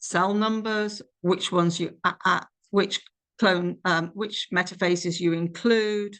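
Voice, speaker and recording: The speaker is a woman. Her accent is British. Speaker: clinical scientist presenting a webinar. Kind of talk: lecture. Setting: webinar.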